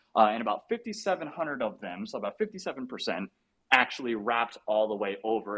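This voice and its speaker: The voice swings very widely in pitch and is loud. It moves at a fairly quick pace. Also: man. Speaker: NFT community member. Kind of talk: casual chat. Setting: live audio chat room. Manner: loud and fast; animated.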